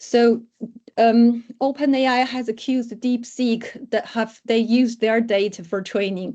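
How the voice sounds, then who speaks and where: A woman with a non-native accent speaks at a fairly high pitch and a fairly slow pace, keeping her intonation fairly even. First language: not English. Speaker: academic researcher. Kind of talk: lecture. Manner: halting.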